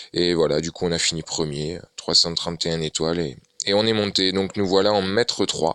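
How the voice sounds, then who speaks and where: A man with a very deep, low pitch and a bright, sharp tone speaks with fairly even intonation, the sound dry and close with no echo. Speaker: gaming youtuber. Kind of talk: gameplay commentary. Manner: hesitant, many fillers.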